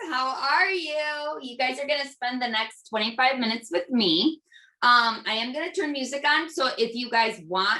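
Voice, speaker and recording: Energetic and upbeat, a woman speaks at a moderate pace in a raised, projected voice, high-pitched with a bright, sharp tone and lively intonation. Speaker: nurse and fitness instructor. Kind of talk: guided workout instruction. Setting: video call. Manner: energetic, upbeat.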